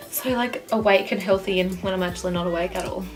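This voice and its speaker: Against noticeable background noise, a woman speaks at a fairly quick pace and a medium pitch. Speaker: makeup artist and beauty vlogger. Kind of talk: tutorial. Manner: fast.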